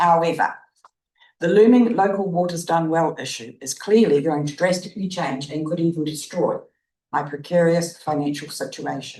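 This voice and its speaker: A woman with a New Zealand accent speaks at a moderate pace and a fairly low pitch, her tone dark and mellow. Her pitch varies in an ordinary way, and room echo is audible. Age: 80s+. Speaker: resident speaking at public forum. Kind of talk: prepared public submission read aloud. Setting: council meeting chamber.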